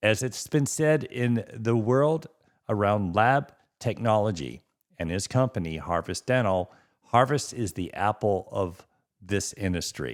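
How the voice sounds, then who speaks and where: A man with a plain, everyday voice speaks at a fairly slow pace in a fairly low pitch, his intonation lively. The recording is very clean, with a silent background. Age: 60s. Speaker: dentist and podcast host. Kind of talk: podcast interview intro.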